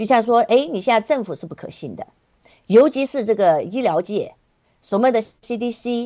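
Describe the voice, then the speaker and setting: A woman's fairly high, dark, mellow voice at a moderate pace, with ordinary pitch variation against a quiet background. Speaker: activist guest. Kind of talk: casual chat.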